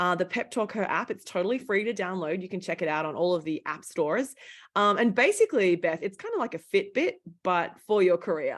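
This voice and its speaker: In a strong Australian accent, a woman talks at a fairly quick pace at medium pitch with ordinary pitch variation. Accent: Australian, thick. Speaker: founder of women's career coaching company, former journalist. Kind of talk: interview conversation. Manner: animated.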